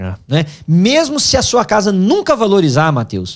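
High in pitch, a man speaks at a moderate pace. The recording is very clean, with a silent background. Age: 50s. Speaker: pastor and finance teacher. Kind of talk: casual chat.

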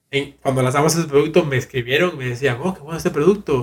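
This man talks at a very fast pace with a fairly high pitch. His voice is somewhat breathy, and his intonation stays fairly even. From Cuba and Costa Rica. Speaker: virtual reality designer. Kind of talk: interview conversation.

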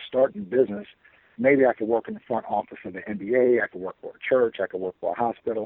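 A man at a very fast pace, medium in pitch, with fairly even intonation and an American accent. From Chicago. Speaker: DJ and entrepreneur. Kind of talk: interview.

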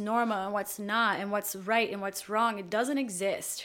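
A woman with a Portuguese accent talks at a moderate pace. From Brazil. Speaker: actor and filmmaker. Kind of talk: casual chat.

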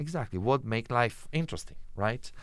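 With an Italian accent, a man speaks at medium pitch with very wide pitch swings against a quiet background. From Italy. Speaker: intercultural education specialist. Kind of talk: interview. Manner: hesitant, many fillers.

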